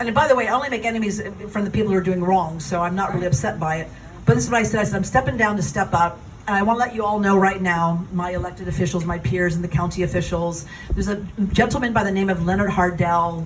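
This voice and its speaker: Amid noticeable background noise and audible room echo, a woman speaks at a very fast pace with an animated tone and ordinary pitch variation. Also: medium pitch for a woman. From Northern California. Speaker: politician. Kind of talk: campaign speech. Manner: loud.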